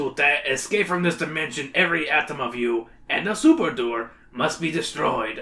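A put-on character voice, guttural and strained, comes at a moderate pace. The intonation is lively. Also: man, fairly high pitch for a man. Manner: declaring.

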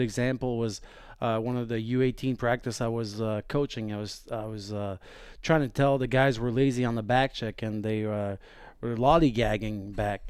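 At a moderate pace, a man with a Quebec accent talks at medium pitch. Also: very clean recording, silent background. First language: French. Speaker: hockey assistant coach. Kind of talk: casual chat.

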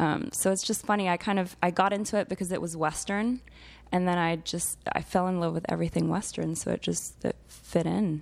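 A woman's fairly low voice at a fairly quick pace, with fairly even intonation, on a very clean recording with a silent background. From Geneva, Switzerland. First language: French. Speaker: equine fine art photographer. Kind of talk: casual interview chat. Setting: studio.

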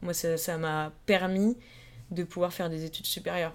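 At a moderate pace, a woman speaks in a normal speaking voice. Her pitch is fairly low and her intonation fairly even. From France, Yvelines (Paris south suburbs). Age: 20s. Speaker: student and Instagram creator. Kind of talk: casual interview chat. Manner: casual, filler-heavy.

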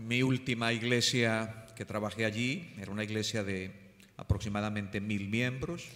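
A man speaks with fairly even intonation amid audible room echo. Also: medium pitch for a man, moderate pace. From Colombia. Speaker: pastor. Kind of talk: sermon.

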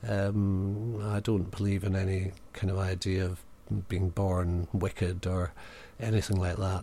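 A man with a Highland Scottish accent has a very deep, low pitch. His voice is somewhat breathy. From Scottish Highlands. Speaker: actor, writer and theatre director. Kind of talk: casual interview. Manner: halting.

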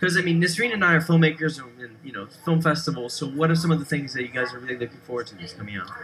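Against noticeable background noise, a man with a fairly high pitch speaks at a very fast pace, his intonation lively and his loudness swinging widely. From Brazil. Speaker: radio host. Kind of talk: casual interview. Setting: studio.

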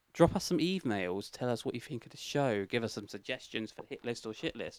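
This is a man speaking. He has a British accent. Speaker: podcast host. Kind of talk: casual banter, comedy chat.

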